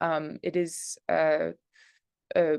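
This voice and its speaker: Against a quiet background, a woman speaks at a fairly low pitch in a dry, close sound with no echo. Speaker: composer and music researcher. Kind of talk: online lecture presentation. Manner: halting, many fillers.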